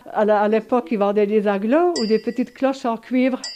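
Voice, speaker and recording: A woman's dark, mellow tone at a fairly quick pace. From France, Épinal (Vosges). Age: 80s+. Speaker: elderly resident interviewee. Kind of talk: reminiscence interview.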